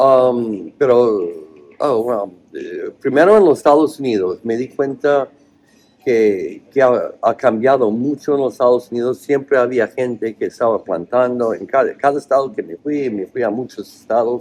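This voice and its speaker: In an English accent, a man speaks at a fairly slow pace with ordinary pitch variation. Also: medium pitch for a man. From US, Oregon. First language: English (speaking Spanish). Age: 60s. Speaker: cannabis cultivation author. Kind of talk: interview. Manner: halting, with many fillers.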